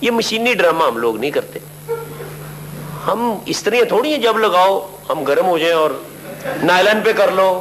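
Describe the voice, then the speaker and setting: A high-pitched man talks with lively intonation while noticeable background noise runs underneath. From Lahore, Pakistan. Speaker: stage actor and comedian. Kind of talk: interview answer.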